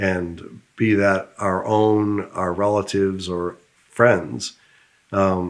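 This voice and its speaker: A man speaks at a very slow pace, with a fairly low pitch and fairly even intonation. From United States. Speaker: business founder. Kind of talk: interview.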